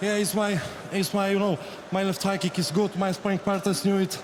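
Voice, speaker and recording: A man with a Polish accent talks at a fairly quick pace and a high pitch. His intonation is monotone and flat, and there is noticeable background noise. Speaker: kickboxer. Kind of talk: post-fight interview. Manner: halting.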